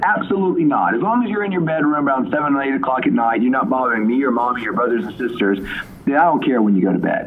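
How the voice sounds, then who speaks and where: A man talks at a very fast pace with very wide pitch swings, and the recording has audible room echo and noticeable background noise. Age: 40s. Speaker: sleep doctor and neurologist. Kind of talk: interview.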